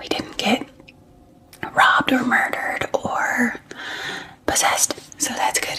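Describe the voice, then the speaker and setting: A woman whispering in a soothing tone at a fairly slow pace with long, frequent pauses, over noticeable background noise. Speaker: ASMR creator and mother. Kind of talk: ASMR get ready with me, casual talk to camera. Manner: soft, soothing, whispered.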